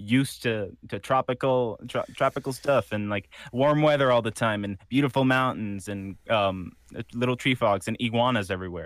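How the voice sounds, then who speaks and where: A man with a Spanish accent at a fairly quick pace. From Puerto Rico. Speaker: voice actor. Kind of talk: interview conversation. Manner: laughs often, casual.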